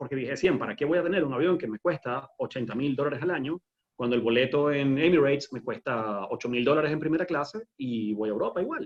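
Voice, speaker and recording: Fairly quick and lively in intonation, a man speaks with a fairly high pitch. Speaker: aviation entrepreneur. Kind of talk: webinar interview. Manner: fast.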